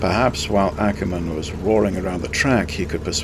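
The speaker is reading aloud in a natural voice, with pitch that varies in an ordinary way.

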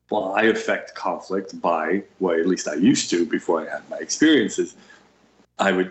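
Speaking in a New York accent, a man keeps a moderate pace. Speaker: psychic healer and educator. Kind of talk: casual chat.

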